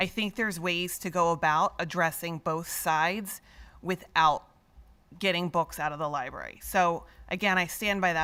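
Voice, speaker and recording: The speech moves at a moderate pace with ordinary pitch variation and comes across loud. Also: woman. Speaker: school board member. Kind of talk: public meeting remarks. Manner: assertive.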